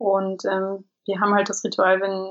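Woman's voice at medium pitch. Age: 30s. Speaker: stay-at-home mother of three. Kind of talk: casual interview. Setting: internet call. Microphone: imperfect sound quality over internet call.

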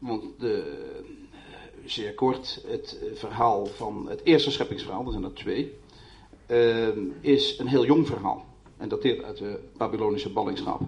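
A man talks at a moderate pace as audible room echo surrounds him. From Netherlands. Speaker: poet. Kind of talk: panel debate. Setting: stage with audience.

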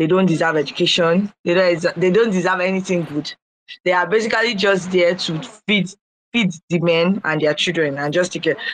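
Fairly low-pitched woman with a Nigerian accent, fairly even intonation, moderate pace. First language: Igbo. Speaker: artist. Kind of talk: casual live audio room chat.

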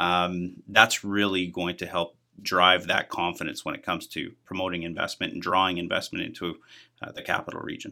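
A man with a Canadian Prairies accent talks at a fairly quick pace with big swings in loudness. The recording is very clean, with a silent background. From Manitoba, Canada (outside Winnipeg). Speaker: business association head. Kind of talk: interview.

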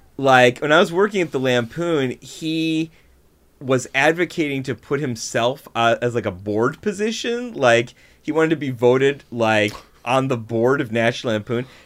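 A man with an American accent, medium pitch and lively intonation at a moderate pace, a plain, everyday voice on a very clean recording with a silent background. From Buffalo, New York. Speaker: comedy writer and performer. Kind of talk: casual chat.

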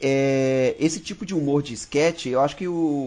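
A man speaks over noticeable background noise. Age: 20s. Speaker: podcast guest. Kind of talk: casual chat.

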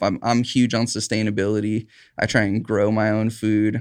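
Medium-pitched male voice with a West Coast accent, fairly even intonation, and a quiet background. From Southern Oregon, Rogue Valley. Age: 30s. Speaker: cannabis farm worker. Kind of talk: interview. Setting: studio.

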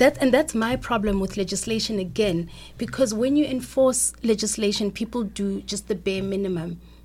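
A woman's medium-pitched voice with vocal fry, ordinary pitch variation and a moderate pace. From South Africa. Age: young. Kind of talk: radio interview.

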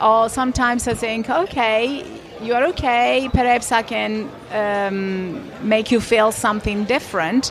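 Over noticeable background noise, a woman speaks at a fairly slow pace in a fairly high pitch with ordinary variation. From Italy. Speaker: Pilates and fitness trainer. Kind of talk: casual interview. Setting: conference venue with background noise.

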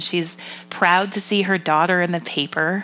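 In an ordinary speaking voice, a woman with an American accent talks at a medium pitch and a moderate pace. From Massachusetts. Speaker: podcast co-host. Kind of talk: casual chat.

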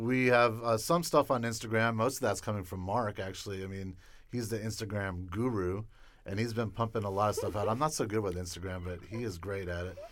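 A man with an unremarkable speaking voice, fairly low in pitch, at a fairly quick pace with ordinary pitch variation. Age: 50s. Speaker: film director. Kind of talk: casual interview. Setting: studio.

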